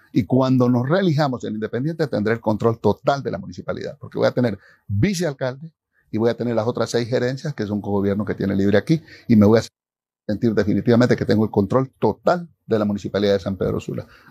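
A man's very fast delivery, dark and mellow in tone, with ordinary pitch variation, a dry sound with no echo, and a quiet background. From Honduras. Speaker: mayor and politician; mayor, politician. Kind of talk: interview answers. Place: studio. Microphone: lapel.

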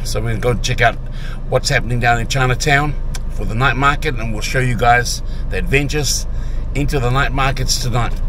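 A man speaks with a dry sound and no echo. Noticeable background noise is present. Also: fairly quick pace. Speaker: travel vlogger. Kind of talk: casual vlog chat. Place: car. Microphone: phone near.

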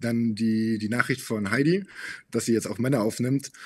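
The background stays quiet. A man talks at a medium pitch. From Bavaria, Munich; Bavaria. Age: 20s. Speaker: model, reality TV contestant; podcast guest. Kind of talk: interview. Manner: hesitant, many fillers. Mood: relaxed, slightly reflective. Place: studio. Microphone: studio mic.

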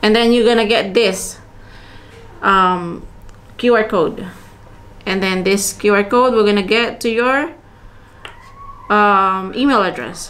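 In a room with audible echo, a woman speaks slowly with long, frequent pauses. Her medium-pitched voice has a fairly bright tone and ordinary pitch variation.

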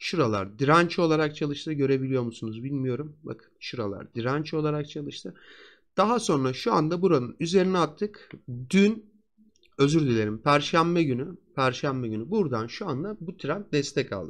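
In a normal speaking voice, a man with a fairly high pitch talks at a moderate pace with lively intonation over a quiet background. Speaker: stock market analyst. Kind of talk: market analysis tutorial. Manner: conversational.

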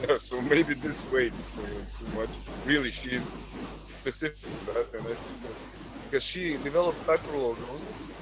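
A man at a moderate pace, in a dry sound with no echo and noticeable background noise. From Croatia. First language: Croatian. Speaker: medical student; panel member. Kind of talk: casual chat. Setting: video call. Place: home room. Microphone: video call.

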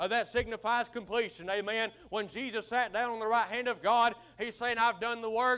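Raising and projecting his voice, a man speaks at a fairly quick pace with a bright, sharp tone and monotone, flat intonation. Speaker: preacher. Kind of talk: sermon. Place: church. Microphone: podium.

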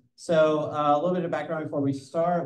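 A man's dark, mellow voice with audible room echo. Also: quiet background. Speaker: community organization host. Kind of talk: event welcome remarks. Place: hall. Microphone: handheld.

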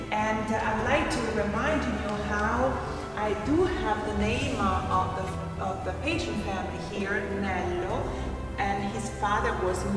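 A woman at a fairly slow pace with audible room echo and clear music in the background. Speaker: tour guide. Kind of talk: guided tour commentary. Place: hall.

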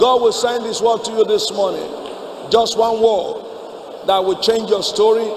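With audible room echo and light background noise, a man speaks at a moderate pace in a high pitch. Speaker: preacher. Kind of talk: sermon. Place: church. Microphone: podium.

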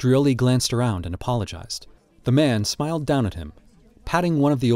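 In a natural voice, a passage is read aloud.

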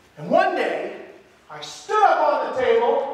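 A man speaks at an extremely high pitch with lively intonation and a fairly slow pace. Strong room echo surrounds his voice.

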